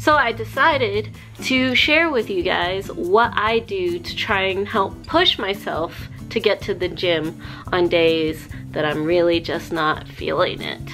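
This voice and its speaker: Over clear music in the background, the woman talks at a fairly slow pace. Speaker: vlogger. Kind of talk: casual vlog chat with tips. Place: home room. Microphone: phone near.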